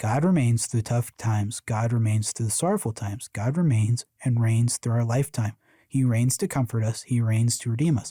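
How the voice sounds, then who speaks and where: With a dark, mellow tone and a somewhat breathy quality, a man's voice comes through dry and close with no echo. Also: very clean recording, silent background. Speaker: podcast host. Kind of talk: casual chat; reading aloud. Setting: live stream. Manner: fast.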